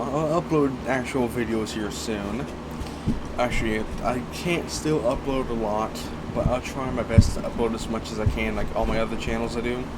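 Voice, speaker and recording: A man speaks at a moderate pace with ordinary pitch variation, amid noticeable background noise and audible room echo. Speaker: indie game developer. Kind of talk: channel intro monologue.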